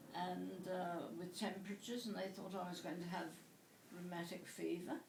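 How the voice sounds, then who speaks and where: A woman speaks at a medium pitch amid noticeable background noise and audible room echo. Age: 80s+. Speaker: interviewee. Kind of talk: interview. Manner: halting.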